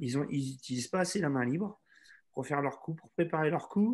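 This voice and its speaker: This man's voice is somewhat breathy and fairly high in pitch. He keeps a moderate pace with ordinary pitch variation. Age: 40s. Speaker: tennis instructor. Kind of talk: webinar Q&A. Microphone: video call.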